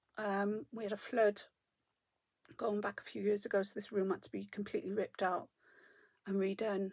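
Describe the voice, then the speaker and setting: A woman with a South Welsh accent, fairly quick but broken by long, frequent pauses, in a monotone, flat intonation, on a very clean recording with a silent background. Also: medium pitch for a woman, dry, close sound with no echo. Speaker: knitting vlogger. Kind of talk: casual chat.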